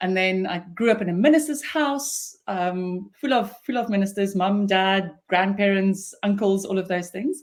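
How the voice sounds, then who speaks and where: A woman speaks with an Afrikaans accent and ordinary pitch variation. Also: medium pitch for a woman, fairly slow pace. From South Africa, Pretoria. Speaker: business founder and CEO. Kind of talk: interview.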